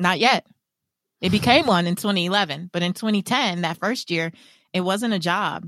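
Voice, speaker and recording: A woman talks at a moderate pace in an ordinary speaking voice, with a medium pitch and ordinary pitch variation. The sound is dry and close, with no echo. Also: very clean recording, silent background. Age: 40s. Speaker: financial coach and author. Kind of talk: casual interview chat.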